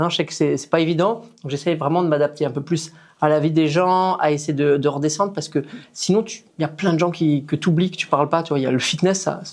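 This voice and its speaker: A man's fairly high, normal speaking voice, fairly quick and fairly even in intonation, in a very clean recording with a silent background. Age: 40s. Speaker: fitness coach. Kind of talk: interview. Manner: casual.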